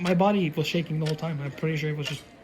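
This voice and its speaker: Fairly even intonation in a somewhat breathy voice. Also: man. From Norway. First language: Norwegian. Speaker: aspiring voice actor telling a personal story. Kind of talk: interview, personal storytelling. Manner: halting, many restarts and fillers.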